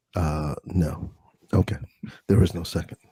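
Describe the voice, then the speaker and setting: A man with an American accent, somewhat breathy, dark and mellow in tone, at a fairly slow pace, in a dry, close sound with no echo. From US, Delaware. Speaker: ASMR streamer. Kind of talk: casual live-stream chat.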